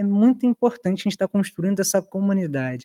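A man with a dark, mellow tone talks at a very fast pace with lively intonation, in a dry, close sound with no echo. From Rio de Janeiro, West Zone. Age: 20s. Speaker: podcast host. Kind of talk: casual chat.

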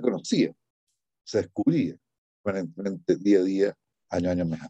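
A man with a dark, mellow tone and fairly low pitch speaks with ordinary pitch variation in a dry, close sound with no echo over a quiet background. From Chile, La Serena. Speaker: poet. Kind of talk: interview. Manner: halting.

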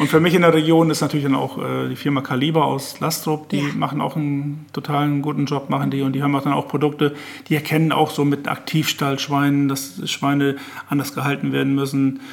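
A man races through his words at a very fast pace, his intonation monotone and flat. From northwest Germany, Oldenburger Münsterland. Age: 60s. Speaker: master butcher. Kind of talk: casual chat. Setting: in the host's kitchen. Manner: halting.

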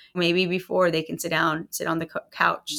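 A woman's fairly low-pitched voice with a bright, sharp tone, vocal fry, fairly even intonation and a moderate pace. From Texas, Rio Grande Valley (Hidalgo County). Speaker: juvenile court judge. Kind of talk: interview. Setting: in person, in the courthouse.

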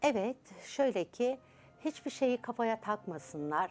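A woman speaks at a very slow pace with very wide pitch swings. The recording is very clean, with a silent background. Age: 60s. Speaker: subconscious transformation coach. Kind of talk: TV interview.

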